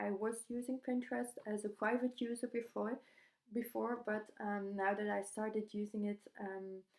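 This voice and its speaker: A woman's fairly high, flat monotone voice with a non-native accent against a quiet background. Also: moderate pace. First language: not English. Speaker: youtuber reviewing online course. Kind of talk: product review vlog. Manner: halting, many fillers. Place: home room. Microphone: webcam.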